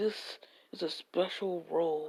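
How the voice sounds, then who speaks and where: Using a put-on character voice, a woman speaks in a raspy tone at a fairly low pitch. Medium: solo performance.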